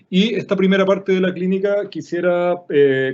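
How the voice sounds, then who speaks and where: Using ordinary pitch variation, a man talks at a high pitch. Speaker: illustrator and design teacher. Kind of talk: online workshop lecture. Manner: fast.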